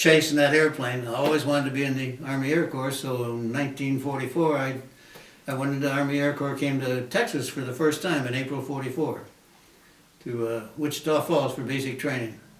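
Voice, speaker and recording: A man with a fairly high pitch speaks at a fairly quick pace in a monotone, flat intonation. Audible room echo and noticeable background noise are present. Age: 90s. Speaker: war veteran. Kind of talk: interview.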